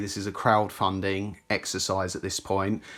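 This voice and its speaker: Speaking with a British accent, a man keeps to a moderate pace. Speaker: tech YouTuber. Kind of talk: unboxing commentary. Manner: casual, halting.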